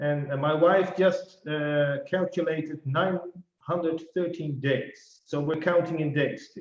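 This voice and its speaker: A man's fairly high voice with a non-native accent, fairly even intonation and a fairly slow pace. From Netherlands. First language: Dutch. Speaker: financial life planner. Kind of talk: casual interview. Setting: video call.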